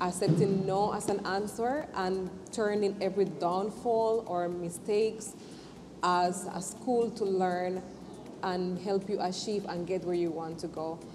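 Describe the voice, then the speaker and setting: A woman with a non-native accent speaks at a fairly slow pace and medium pitch. Her intonation is fairly even, and the room echo is audible. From not Jamaica. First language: not English. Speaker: entrepreneur. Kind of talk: interview testimony. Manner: halting.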